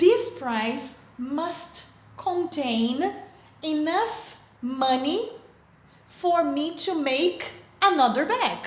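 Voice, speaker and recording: Speaking in a Brazilian Portuguese accent, a woman uses an extremely high pitch with very wide swings. She goes very slowly, with long, frequent pauses and audible room echo. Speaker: teacher. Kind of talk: lecture. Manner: careful, deliberate.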